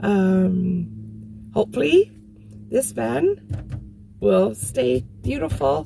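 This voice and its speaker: A woman's very slow speech with hardly any pauses, music in the background. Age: 60s. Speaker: van dweller, vlogger. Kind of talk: casual talk to camera.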